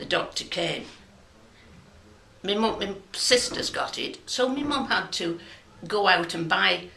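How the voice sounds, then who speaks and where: A woman with a Lancashire accent speaks at medium pitch with lively intonation. Audible room echo and noticeable background noise surround her. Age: 70s. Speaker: local resident sharing memories. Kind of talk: personal testimony.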